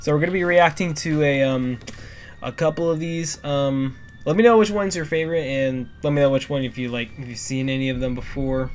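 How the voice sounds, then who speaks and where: Music plays in the background. Over it, a man with a fairly high pitch talks at a fairly quick pace. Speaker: YouTuber reacting to videos. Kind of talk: casual reaction commentary. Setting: in his bedroom at night. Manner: soft-spoken, quiet to not disturb parents; halting, many fillers.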